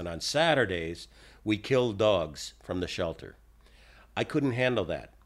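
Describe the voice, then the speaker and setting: Lively intonation in a normal speaking voice, moderate pace, very clean recording with a silent background. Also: man. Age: 60s. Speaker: dog trainer. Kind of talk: monologue podcast talk.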